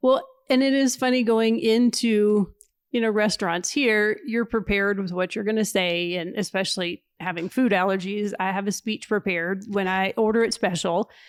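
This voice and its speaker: A woman with a Kentucky accent at medium pitch and moderate pace, her pitch varying in an ordinary way, in a dry, close sound with no echo on a very clean recording with a silent background. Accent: Southern US (Kentucky). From Kentucky, US South. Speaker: missionary. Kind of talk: casual interview chat.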